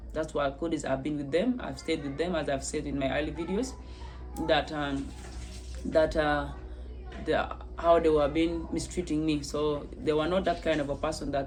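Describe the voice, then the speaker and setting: Music plays in the background, and the room echo is audible. The speech moves at a moderate pace. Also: woman. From South Sudan. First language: not English. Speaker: testimony vlogger. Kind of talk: personal testimony. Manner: halting, many repetitions.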